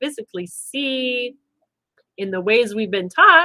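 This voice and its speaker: Loud and bright with a sharp tone, a woman speaks at a fairly high pitch. Her pitch varies in an ordinary way. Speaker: spiritual wellness livestream host. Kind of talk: livestream talk to viewers.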